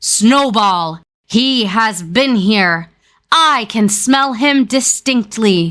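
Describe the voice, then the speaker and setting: A woman's put-on character voice, fairly high-pitched and very slow, in a very clean recording with a silent background. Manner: terrible, menacing exclaiming.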